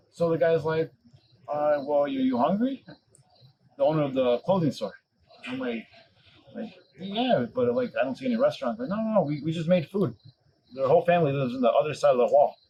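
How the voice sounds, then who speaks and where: Fairly high in pitch, a man with an American accent speaks at a fairly quick pace with very wide pitch swings. Long, frequent pauses break up his speech. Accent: American, noticed by locals abroad. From Chicago, US. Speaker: podcast guest, former bar owner. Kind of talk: casual chat. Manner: animated storytelling.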